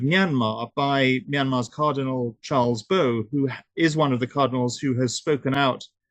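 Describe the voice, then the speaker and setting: This man has a medium-pitched voice and a British accent. He speaks at a moderate pace with ordinary pitch variation. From United Kingdom. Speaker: human rights activist. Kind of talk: webinar talk. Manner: hesitant, many fillers.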